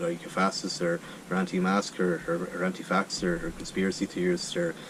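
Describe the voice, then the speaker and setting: A man's very deep, low voice in an Irish accent, fairly even in intonation and moderate in pace, with noticeable background noise. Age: 30s. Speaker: charity walker. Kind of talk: interview. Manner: halting, many repeated words.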